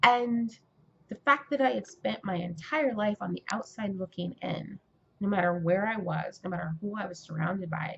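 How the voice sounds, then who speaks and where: A woman with an American accent speaks at a moderate pace and medium pitch, her voice somewhat breathy and her intonation lively. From California. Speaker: aspiring writer and vlogger. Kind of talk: casual vlog monologue. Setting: indoors, Mardi Gras outside window.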